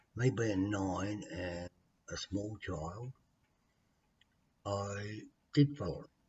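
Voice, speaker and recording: A man speaks at a very slow pace with long, frequent pauses. His fairly low, somewhat breathy voice shows ordinary pitch variation. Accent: Australian. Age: 60s. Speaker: vlogger telling his life story. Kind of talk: personal testimony. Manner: halting.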